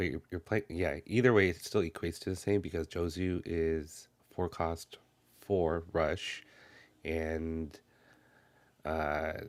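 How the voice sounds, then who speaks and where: Quiet and very slow, a man with a very deep, low pitch speaks in fairly even intonation, leaving long, frequent pauses, on a very clean recording with a silent background. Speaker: card game content creator. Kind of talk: unboxing commentary. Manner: mellow, quiet.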